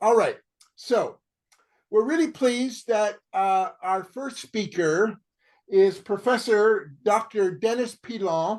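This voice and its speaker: Against a quiet background, a man with a Canadian accent talks at a very slow pace in a high voice, with ordinary pitch variation. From Canada. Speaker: campaign group co-founder and event moderator. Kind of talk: online panel introduction. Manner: halting, many fillers.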